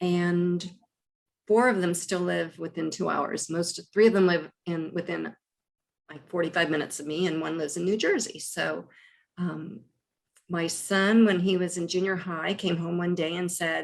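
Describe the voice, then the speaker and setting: An ordinary speaking voice comes from a woman with an American accent. Her pitch is fairly low, her intonation fairly even and her pace moderate. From US Midwest, Columbus, Ohio. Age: 60s. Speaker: actress. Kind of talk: casual chat.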